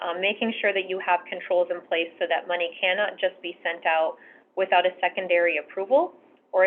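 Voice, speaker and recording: A woman speaks with a plain, everyday voice at a medium pitch. Her pace is fairly quick and her intonation fairly even. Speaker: bank treasury management sales executive. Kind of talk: presentation on fraud prevention.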